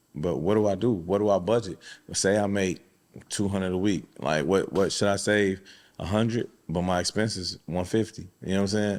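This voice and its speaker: A man with fairly even intonation, on a very clean recording with a silent background. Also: fairly low pitch for a man. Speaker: podcast host. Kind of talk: casual chat. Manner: fast.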